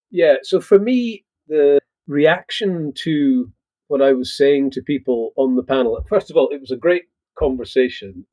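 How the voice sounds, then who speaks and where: Man with a Scottish accent, fairly high in pitch, with lively intonation at a fairly slow pace. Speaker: agritech company CEO. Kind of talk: podcast interview.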